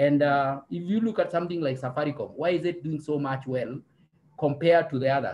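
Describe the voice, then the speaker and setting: Speaking at a fairly quick pace, a man with a fairly high pitch sounds somewhat breathy and shows ordinary pitch variation. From Kenya. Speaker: statistician; panelist. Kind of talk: panel discussion. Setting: video call webinar. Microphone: webcam.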